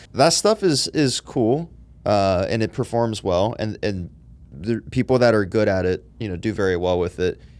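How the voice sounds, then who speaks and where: Lively in intonation, a man speaks at a moderate pace with a fairly low pitch. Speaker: podcast host. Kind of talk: casual chat. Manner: loud; animated.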